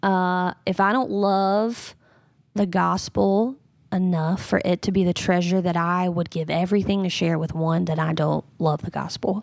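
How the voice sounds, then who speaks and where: On a very clean recording with a silent background, a woman with a Southern US accent speaks at a fairly slow pace, medium in pitch, with fairly even intonation. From North Carolina, US South. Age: 30s. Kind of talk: interview conversation.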